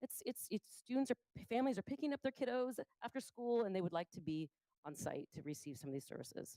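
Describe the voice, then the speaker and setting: A woman with a fairly high pitch and a dark, mellow tone speaks at a very fast pace with very wide pitch swings, the sound dry and close with no echo. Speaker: school district administrator. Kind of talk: presentation to school board. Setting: board meeting.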